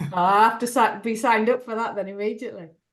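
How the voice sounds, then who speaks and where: A woman speaks fairly quickly with a Yorkshire accent. Her fairly high voice keeps fairly even intonation. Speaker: webinar host. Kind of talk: online meeting hosting.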